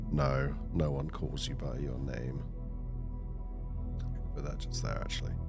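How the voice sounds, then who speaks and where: Over music in the background, a soft-spoken man with a very deep, low pitch speaks in a calm tone with lively intonation. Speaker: gaming narrator. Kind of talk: narrated game playthrough. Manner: calm, soft-spoken.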